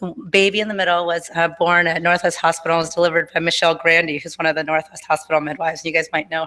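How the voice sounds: Fast delivery and a fairly bright tone come with little movement in pitch. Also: woman, low pitch for a woman.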